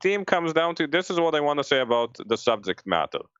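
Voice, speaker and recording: A man speaks at a moderate pace with a strong non-native accent. His pitch swings very widely. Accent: thick foreign. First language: not English. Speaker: screenwriter. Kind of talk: casual panel discussion. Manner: halting, many restarts.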